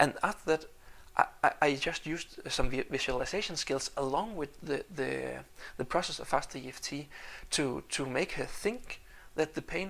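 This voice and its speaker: A man speaks with lively intonation. Vocal fry runs through his voice. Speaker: home business vlogger. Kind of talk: video blog monologue. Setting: kitchen at night. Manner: fast; halting, many repetitions.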